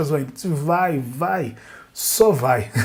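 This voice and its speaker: This man's voice sits at a fairly high pitch and sounds somewhat breathy. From Brazil, Northeast. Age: 30s. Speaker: jiu-jitsu podcast host. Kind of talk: casual interview.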